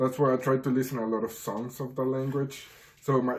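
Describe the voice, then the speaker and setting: A man with a Spanish accent speaks at a moderate pace in a medium pitch. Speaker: friend. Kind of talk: casual chat.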